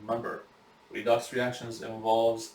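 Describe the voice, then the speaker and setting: This man talks at a medium pitch. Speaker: biology instructor. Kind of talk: recorded lecture. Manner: halting, many fillers.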